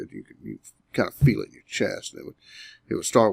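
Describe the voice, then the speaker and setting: This is a man's voice. He has an Alabama accent. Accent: Southern US (Alabama). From US South, Alabama. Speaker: hunter telling encounter story. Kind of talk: interview storytelling. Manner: halting with repetitions.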